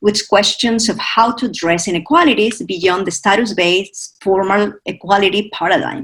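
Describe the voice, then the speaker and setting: A woman's somewhat breathy voice keeps to a moderate pace. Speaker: academic discussant. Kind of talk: prepared academic commentary. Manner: reading from notes.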